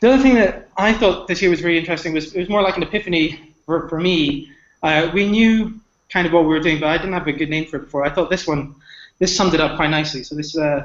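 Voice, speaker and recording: A man speaks very fast at a high pitch, with ordinary pitch variation. Room echo is audible. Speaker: conference speaker, altmetrics tool provider. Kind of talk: conference talk.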